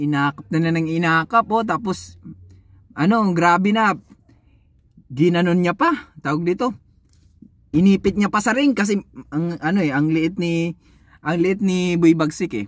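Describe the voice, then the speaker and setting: A man with a high pitch and ordinary pitch variation speaks at a fairly slow pace with long, frequent pauses, the sound dry with no echo against a quiet background. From Philippines. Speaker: YouTube boxing commentator vlogger. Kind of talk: casual fight recap and trash talk. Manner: animated, mocking, laughing. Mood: animated, mocking, exasperated. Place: car. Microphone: phone near.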